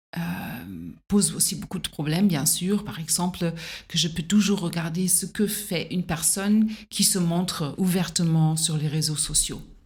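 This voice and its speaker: A woman with a German accent, somewhat breathy, at a fairly low pitch, fairly slow pace and fairly even intonation. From Germany. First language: German (speaking French). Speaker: singer-songwriter and teacher. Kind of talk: interview conversation. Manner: hesitant, many fillers.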